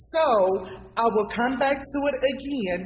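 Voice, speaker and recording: Delivered at a fairly slow pace, the animated speech sits over noticeable background noise. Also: woman. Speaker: community activist, talk show panelist. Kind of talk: panel discussion.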